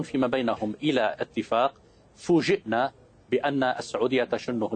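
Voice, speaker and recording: A man speaks at a fairly slow pace and medium pitch, with ordinary pitch variation. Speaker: political analyst. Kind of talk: heated debate. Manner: animated.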